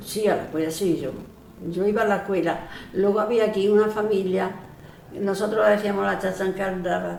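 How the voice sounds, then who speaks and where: A woman speaks in a flat monotone over noticeable background noise, with audible room echo. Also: medium pitch for a woman, moderate pace. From Andalusia, northern Córdoba province (rural village). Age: 80s+. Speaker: elderly villager sharing memories. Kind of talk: oral history interview. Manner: halting, many false starts and repetitions.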